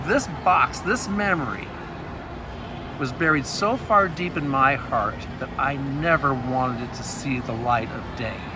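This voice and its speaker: Amid noticeable background noise and audible room echo, a man with an American accent speaks at a fairly slow pace and a fairly high pitch, his intonation lively. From US Northwest (Montana). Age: 60s. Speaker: author and abuse survivor speaker. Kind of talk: testimony. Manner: conversational, animated.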